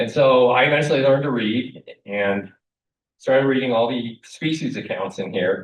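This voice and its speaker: Delivered at a fairly quick pace, a plain, everyday voice shows ordinary pitch variation. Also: man. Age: 60s. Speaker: wildlife biologist and author. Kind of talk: lecture.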